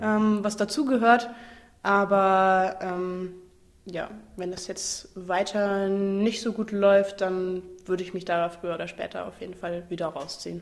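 In an ordinary speaking voice, a woman at medium pitch talks at a fairly slow pace with fairly even intonation and big swings in loudness. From Saarland, Germany. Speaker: actress and slam/cabaret performer. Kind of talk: casual interview.

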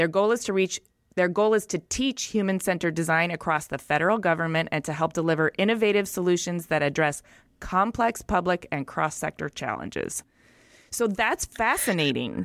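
In a very clean recording with a silent background and a dry, close sound with no echo, a woman with a plain, everyday voice speaks at a fairly quick pace, her pitch fairly low with ordinary pitch variation. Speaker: podcast host. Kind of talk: casual interview.

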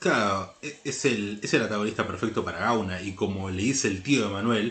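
Audible room echo surrounds a man talking at a fairly quick pace. His pitch is fairly low and his intonation fairly even. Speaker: podcast co-host, film critic. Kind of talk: casual chat.

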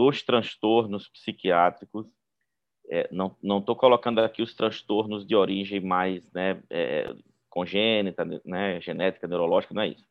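In a Brazilian accent, a man speaks with a fairly low pitch. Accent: non-gaúcho Brazilian. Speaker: psychiatrist, professor. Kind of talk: panel discussion.

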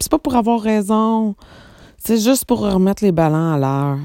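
A woman speaks in a Quebec accent. Her intonation is lively. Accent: Québécois French. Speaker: psychic medium podcaster. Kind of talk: casual monologue. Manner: emotional, trembling voice; hesitant fillers.

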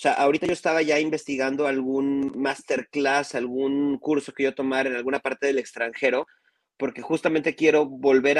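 In a plain, everyday voice, a man talks at a fairly quick pace and fairly high pitch with fairly even intonation, the sound dry and close with no echo. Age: 30s. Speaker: music video director. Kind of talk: casual chat. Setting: live stream.

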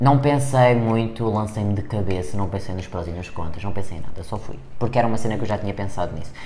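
A man with a European Portuguese accent talks at a very fast pace, his pitch varying in an ordinary way. Audible room echo and noticeable background noise fill the recording. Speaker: podcast co-host. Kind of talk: casual chat.

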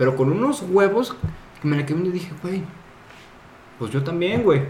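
A man with a Mexican accent, moderate pace and lively intonation, plus audible room echo. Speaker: podcast co-host, entrepreneur. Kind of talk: casual chat.

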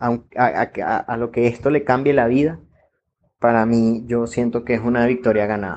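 In a normal speaking voice, a man speaks at a medium pitch and a fairly slow pace with fairly even intonation. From Venezuela. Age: 30s. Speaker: industrial engineer. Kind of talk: personal testimony.

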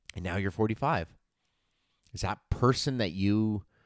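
Recorded very cleanly against a silent background, a man speaks at a moderate pace with a fairly low pitch. He has a normal speaking voice, and the sound is dry and close with no echo. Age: 40s. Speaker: fitness and nutrition coach, podcast host. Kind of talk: solo podcast monologue. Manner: casual, with many filler words.

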